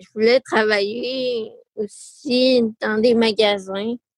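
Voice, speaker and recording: The woman's fairly high voice moves at a very slow pace with fairly even intonation, recorded dry and close with no echo. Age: 20s. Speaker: person with spina bifida. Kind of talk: testimony. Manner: halting; shy.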